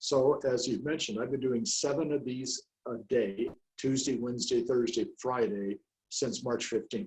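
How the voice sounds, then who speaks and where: At a moderate pace, a man talks with a medium pitch, ordinary pitch variation and a somewhat breathy quality. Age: 70s. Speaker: real estate coach and trainer. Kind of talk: interview. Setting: video call. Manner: animated.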